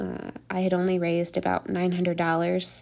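A woman speaks in a fairly low voice at a moderate pace. The recording is very clean, with a silent background. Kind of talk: solo monologue, partly scripted. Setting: home recording with rain and thunder outside. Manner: halting, with pauses and fillers.

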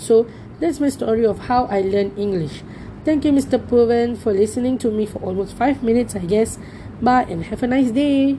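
Amid noticeable background noise, a woman talks at a moderate pace, her fairly high pitch showing ordinary variation. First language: Tamil. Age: 20s. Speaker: university student. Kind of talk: personal storytelling assignment.

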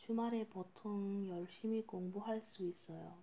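Very slow in pace, a woman speaks at a medium pitch in a dark, mellow, somewhat breathy tone with ordinary pitch variation. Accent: non-native. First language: not Korean (speaking Korean). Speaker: podcast host and language learner. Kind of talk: casual monologue. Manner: halting.

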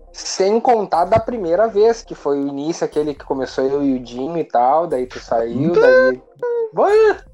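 Against noticeable background noise, a man speaks at a fairly slow pace. His high voice makes very wide pitch swings. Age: 30s. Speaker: podcast co-host. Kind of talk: casual chat. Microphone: connection cutting out.

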